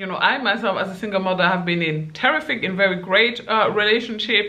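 The voice belongs to a woman. Her pitch variation is ordinary. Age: 20s. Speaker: YouTuber giving dating advice. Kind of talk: casual vlog monologue. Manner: animated, laughs often. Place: home room.

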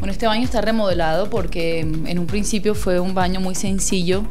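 Faint music sits in the background as a woman talks at a moderate pace. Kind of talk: casual home tour commentary. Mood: relaxed, cheerful. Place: home room. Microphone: handheld.

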